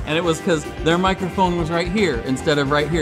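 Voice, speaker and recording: A man at a very fast pace with clear music in the background. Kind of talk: interview answer. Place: hall.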